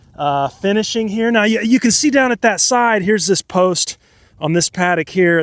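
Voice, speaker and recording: A man speaks loudly at a moderate pace with ordinary pitch variation. The sound is dry and close, with no echo. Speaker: farmer. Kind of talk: casual outdoor vlog. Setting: outdoors. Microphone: wind-cutting microphone.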